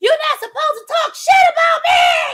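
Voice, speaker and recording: A put-on character voice shouts at a moderate pace, shrill and extremely high. The pitch swings very widely. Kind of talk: casual. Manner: yelling, screeching.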